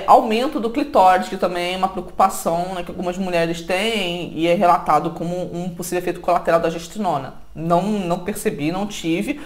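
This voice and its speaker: At a moderate pace with hardly any pauses, the speaker shows ordinary pitch variation over noticeable background noise. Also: woman, fairly low pitch for a woman. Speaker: health vlogger. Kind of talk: personal testimony vlog. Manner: hesitant with repetitions.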